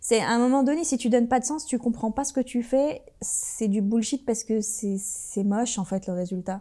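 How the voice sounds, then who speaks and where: Moving at a moderate pace, this dark, mellow voice shows ordinary pitch variation. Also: woman, fairly high pitch for a woman. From Brittany, France, after early childhood in Algeria. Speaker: entrepreneur and sports manager. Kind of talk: interview. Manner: animated.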